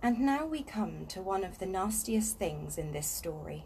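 Light background noise sits behind this voice. A woman speaks at a moderate pace. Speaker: reader of a children's book. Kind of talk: reading aloud a story. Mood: calm, relaxed. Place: garden. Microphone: phone near.

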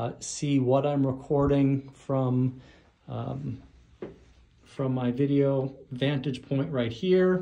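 Over a quiet background, a man talks. He keeps a fairly slow pace. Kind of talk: casual vlog chat. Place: studio. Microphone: phone near.

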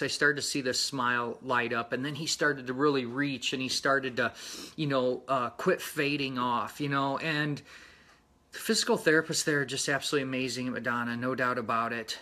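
A man talks at a fairly quick pace with fairly even intonation, in an ordinary speaking voice of medium pitch. The recording is very clean, with a silent background. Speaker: motorcycle mechanics instructor. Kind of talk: casual talk to camera.

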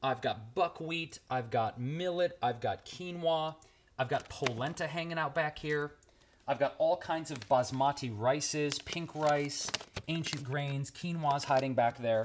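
At a fairly slow pace and with ordinary pitch variation, a man speaks over light background noise. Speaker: vegan cooking vlogger. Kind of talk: casual vlog chat, kitchen tour. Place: kitchen. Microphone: phone near.

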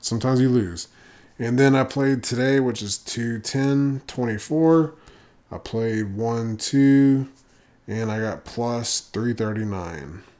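At a very slow pace, a man speaks in a dark, mellow tone at a medium pitch with ordinary pitch variation. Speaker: poker vlogger. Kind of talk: casual vlog recap. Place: home room. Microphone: studio mic.

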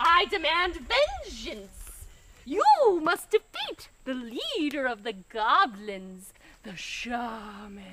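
At a very slow pace, a woman with a high pitch talks in very wide pitch swings. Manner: melodramatic, pleading then vengeful.

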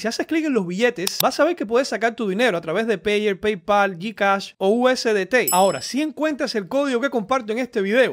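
A man's high voice at a fairly quick pace, with lively intonation and few pauses

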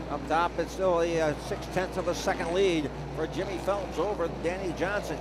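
A man talks at a high pitch. Noticeable background noise sits behind him. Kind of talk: race call, color commentary. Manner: energetic, conversational.

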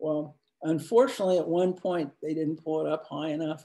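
A man speaks with a Midwestern US accent. His pitch is fairly high and his tone dark and mellow. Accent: US Midwest. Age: 70s. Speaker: commercial photographer. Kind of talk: presentation to students. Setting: video call.

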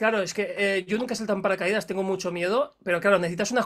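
Over a quiet background, a man talks at a fairly quick pace with a high pitch. His tone is bright and sharp, and his intonation stays fairly even. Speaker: YouTube interviewer. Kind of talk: casual interview. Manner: laughs often. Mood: relaxed, curious. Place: studio. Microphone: studio mic.

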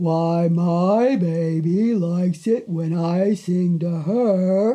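A put-on character voice, female-sounding and fairly low, at a very slow pace. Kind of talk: storytelling. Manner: slow, gentle, motherly.

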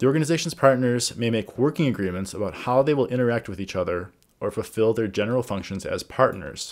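Very fast pace and lively intonation from a man, with a quiet background. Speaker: organizational governance coach. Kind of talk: tutorial. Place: home room. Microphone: webcam.

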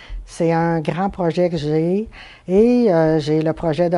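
Her voice fairly low in pitch, a woman speaks at a very slow pace in a dark, mellow tone. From Quebec, Chibougamau; Quebec. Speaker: stained-glass artisan. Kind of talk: interview. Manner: hesitant, many fillers. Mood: calm, thoughtful. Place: home room. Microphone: lapel.

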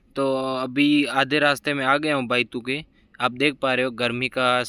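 A man's bright, sharp voice at a fairly slow pace, dry with no echo. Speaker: travel vlogger. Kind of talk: casual vlog chat. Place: motorbike. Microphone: phone near.

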